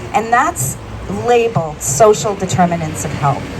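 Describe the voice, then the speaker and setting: Amid noticeable background noise and audible room echo, a woman talks at a moderate pace with very wide pitch swings. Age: 60s. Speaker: health policy professional, resident speaker. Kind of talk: public speech at rally. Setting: outdoors at press conference.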